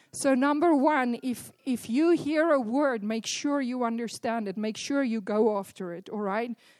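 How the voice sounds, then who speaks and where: Pitched high, a woman speaks at a moderate pace with ordinary pitch variation and hardly any pauses. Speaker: church leader. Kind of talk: sermon introduction. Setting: church.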